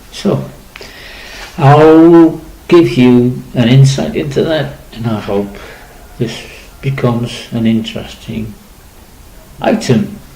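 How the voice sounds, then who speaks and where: A man speaks at a very slow pace with long, frequent pauses and lively intonation. Noticeable background noise and audible room echo are present. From Liverpool, England. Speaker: radio presenter. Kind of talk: casual monologue. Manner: halting.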